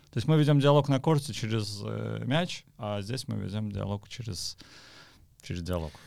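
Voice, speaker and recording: A man with a normal speaking voice and fairly low pitch talks at a moderate pace with lively intonation. The recording is very clean, with a silent background. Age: 40s. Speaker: podcast host, tennis community founder. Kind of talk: casual chat. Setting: studio.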